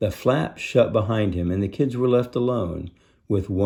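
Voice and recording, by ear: The speaker is reading aloud in a natural voice. Pitch varies in an ordinary way.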